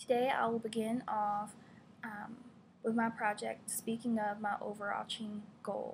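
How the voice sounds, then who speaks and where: A woman's somewhat breathy, fairly high-pitched voice in an American accent, with monotone, flat intonation. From Virginia, Gloucester (US South). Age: 20s. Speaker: graduate student. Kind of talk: class presentation. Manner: hesitant, many fillers.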